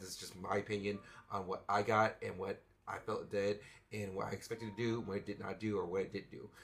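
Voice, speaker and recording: Somewhat breathy and monotone, a man talks in a flat way at a fairly low pitch. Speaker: YouTuber reviewing studio gear. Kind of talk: product review. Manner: casual, hesitant with fillers.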